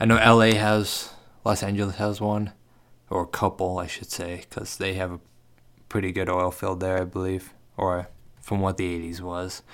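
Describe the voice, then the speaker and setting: A man talks at a moderate pace in a very deep, low voice. His intonation is flat and monotone, broken by long, frequent pauses. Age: 20s. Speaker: podcast host. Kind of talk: casual monologue. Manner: halting, rambling self-corrections.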